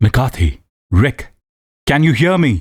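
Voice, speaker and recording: A quiet, put-on character voice from a man, medium in pitch with very wide pitch swings, dry and close with no echo. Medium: read story. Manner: quiet, steady.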